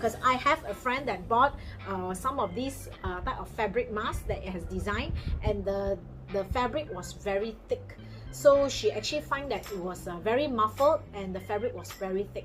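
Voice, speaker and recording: A woman speaks at a moderate pace with a Malaysian accent, her loudness swinging widely over music in the background. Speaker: product reviewer. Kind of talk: product review vlog.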